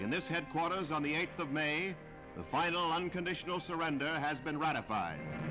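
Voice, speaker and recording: Music plays in the background. A man with a fairly high pitch speaks at a fairly quick pace. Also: ordinary pitch variation. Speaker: newsreel announcer. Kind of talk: wartime newsreel narration.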